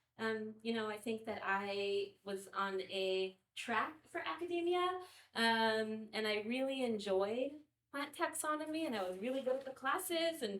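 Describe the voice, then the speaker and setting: A woman with an American accent, fairly high-pitched, fairly slow and lively in intonation. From US Southwest, Imperial Valley on the Mexican border. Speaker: farmer and nonprofit founder. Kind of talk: panel discussion. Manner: halting, many fillers and repetitions.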